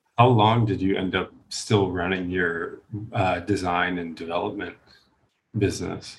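At a fairly slow pace, a man with a very deep, low pitch talks in a somewhat breathy voice with fairly even intonation. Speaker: podcast host. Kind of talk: interview conversation.

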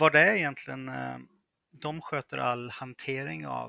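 The speech moves at a very slow pace, with a dry, close sound and no echo. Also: man. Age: 30s. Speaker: freelance software developer. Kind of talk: interview.

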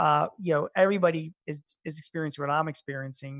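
Heard in a dry, close sound with no echo and a quiet background, a plain, everyday voice moves at a fairly quick pace. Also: man. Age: 50s. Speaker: small business expert and columnist. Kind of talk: interview. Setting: remote call from home.

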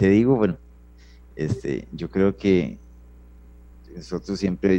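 A man speaks with a very deep, low pitch and a dark, mellow tone. His pitch varies in an ordinary way, and there is vocal fry. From Costa Rica, San Ramón. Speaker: Red Cross rescuer and ambulance driver. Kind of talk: interview testimony. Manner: halting, repeats words.

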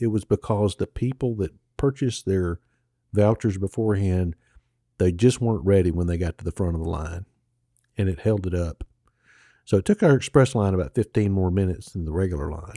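A man with a Mississippi accent, very deep and low in pitch, at a fairly quick pace with ordinary pitch variation, on a very clean, dry, close recording with a silent background and no echo. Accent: Southern US (Mississippi). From Mississippi, US South. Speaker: podcast co-host, local travel guide. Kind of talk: casual chat.

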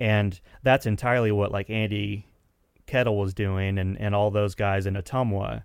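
Using a plain, everyday voice, a man with an American accent talks at a moderate pace in a fairly low pitch with fairly even intonation. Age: 40s. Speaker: musician and recording engineer. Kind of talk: casual interview chat.

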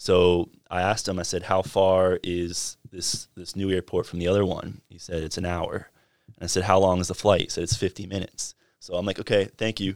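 A man with an American accent speaks at a very deep, low pitch in a monotone, flat intonation and a fairly quick pace, with big swings in loudness. The recording is very clean with a silent background and a dry, close sound with no echo. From North Carolina, Fuquay-Varina. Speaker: hockey team communications director. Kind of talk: casual interview. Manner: hesitant with many fillers.

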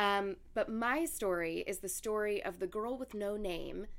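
Her intonation lively, a woman speaks fairly slowly at a medium pitch in an unremarkable speaking voice. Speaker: podcast host. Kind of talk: casual chat and storytelling.

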